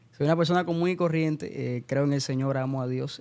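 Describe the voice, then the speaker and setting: Here a man talks at a fairly quick pace. His tone is dark and mellow at medium pitch. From Cuba (Santa Clara, central Cuba) until 13. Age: 20s. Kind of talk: podcast interview.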